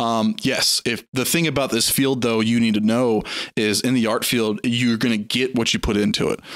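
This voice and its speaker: With a slight Southern US accent, a man speaks at a medium pitch and a moderate pace. His loudness is very even and his intonation fairly even. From US South, Sumter, South Carolina. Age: 20s. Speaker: 3D artist. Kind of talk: casual interview chat.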